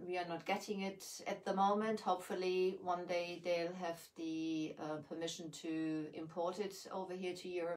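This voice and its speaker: In a German accent, a woman speaks at a fairly low pitch with monotone, flat intonation. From Germany. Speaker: furniture painter and craft shop owner. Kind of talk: live painting tutorial. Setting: livestream from home basement. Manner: hesitant, many fillers.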